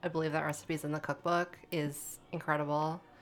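On a very clean recording with a silent background, a woman speaks with an American accent. Her pitch is very deep and low, and her intonation is monotone and flat. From western Massachusetts. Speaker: food writer and dining editor. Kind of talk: interview. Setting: studio.

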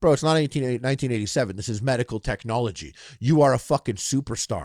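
A man talks very fast at medium pitch, with an animated tone and lively intonation. The recording is very clean and dry, close with no echo, against a silent background. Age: 30s. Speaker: podcast host. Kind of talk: casual chat.

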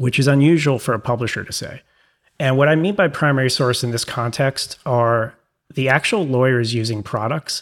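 A man with a New York accent, at a fairly quick pace. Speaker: publisher and former litigator.

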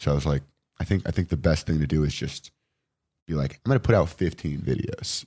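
A man with a Californian accent talks at a fairly quick pace in a very deep, low pitch with ordinary variation. His dark, mellow tone carries some vocal fry. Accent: General American, Californian. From Los Angeles, Venice. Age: 20s. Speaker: actor and comedian. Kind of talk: casual chat. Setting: studio.

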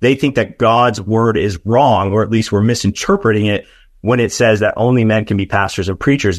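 A man has a plain, everyday voice at a fairly low pitch. His intonation stays fairly even. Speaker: political and theological commentator. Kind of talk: interview.

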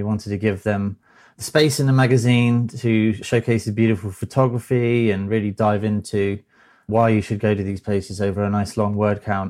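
A man with a British accent talks at a moderate pace with fairly even intonation. The recording is very clean, with a silent background. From Britain. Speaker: magazine editor. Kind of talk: casual chat.

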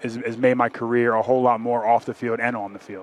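A fairly quick pace from a man in a normal speaking voice, pitched at a medium level. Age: 30s. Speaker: NFL offensive lineman. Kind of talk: interview.

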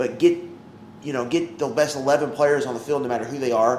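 A man's fairly high-pitched voice comes through with noticeable background noise around it. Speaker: sports podcast co-host. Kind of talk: casual chat. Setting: outdoors.

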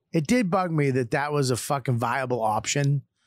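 Recorded very cleanly against a silent background, a man speaks with a fairly high pitch. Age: 50s. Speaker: comedian and podcast host. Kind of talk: casual chat. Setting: studio. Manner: animated.

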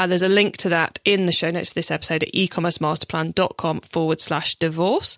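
In an English accent, a woman rushes along at a very fast pace with hardly any pauses, her fairly low voice monotone and flat, the sound dry and close with no echo. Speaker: e-commerce podcast host. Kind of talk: solo podcast tutorial. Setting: studio.

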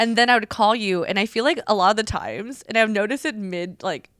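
On a very clean recording with a silent background, a woman speaks fairly quickly in an ordinary speaking voice with ordinary pitch variation. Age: 30s. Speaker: podcast co-host. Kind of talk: casual chat.

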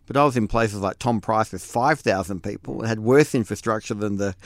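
With an Australian accent, a man talks at a fairly quick pace and fairly low pitch with ordinary pitch variation, on a very clean recording with a silent background. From Western Australia wheat belt. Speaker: former state politician. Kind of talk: casual interview chat.

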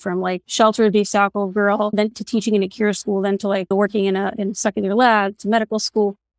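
A woman talks at a fairly quick pace in an unremarkable speaking voice of medium pitch. The recording is very clean, with a silent background and a dry, close sound with no echo. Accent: American. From Borough Park, Brooklyn, US. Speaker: doctor. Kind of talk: casual chat.

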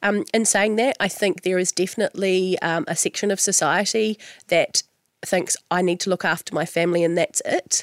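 In a New Zealand accent, a woman of medium pitch speaks at a moderate pace, her intonation fairly even and loudness very even, in a dry, close sound with no echo. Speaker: radio host. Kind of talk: interview.

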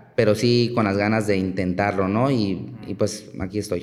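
A man's fairly low voice at a moderate pace, fairly even in intonation, with audible room echo. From Mexico, Chiapas. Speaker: archaeologist. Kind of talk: interview conversation. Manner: halting, many fillers.

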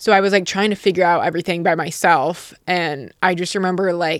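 Speaking with an American accent, a woman keeps a moderate pace, medium pitch and ordinary pitch variation. The recording is very clean, with a silent background. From Utah. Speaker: YouTuber. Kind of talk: casual chat. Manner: blunt, understated delivery.

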